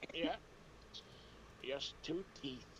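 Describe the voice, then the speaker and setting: A man performs a put-on character voice at a fairly high pitch. Clear background noise sits behind him. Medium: actual play.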